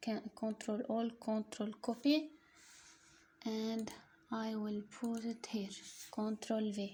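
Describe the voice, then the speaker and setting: A woman with an Arabic accent talks at a very slow pace in a fairly high, somewhat breathy voice with a dark, mellow tone. Her intonation is monotone and flat, broken by long, frequent pauses. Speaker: online tutorial creator. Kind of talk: casual product promotion; screen-recording tutorial. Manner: halting, non-fluent English.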